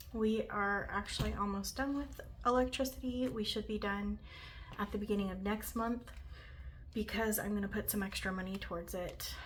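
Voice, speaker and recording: A woman speaks in a soft-spoken way. Some room echo can be heard. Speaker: budgeting content creator. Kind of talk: casual vlog tutorial.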